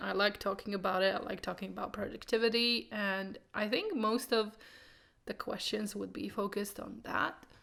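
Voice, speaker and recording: A woman speaks at a medium pitch and moderate pace with a Croatian accent and ordinary pitch variation, in a very clean recording with a silent background. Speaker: booktuber. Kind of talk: casual vlog monologue.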